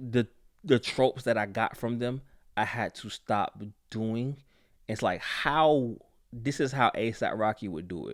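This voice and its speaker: With an American accent, a man speaks at a medium pitch and a fairly slow pace, taking long, frequent pauses, using ordinary pitch variation and big swings in loudness, on a very clean recording with a silent background. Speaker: rapper. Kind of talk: podcast interview. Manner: speaks properly in regular voice; halting, repeats words.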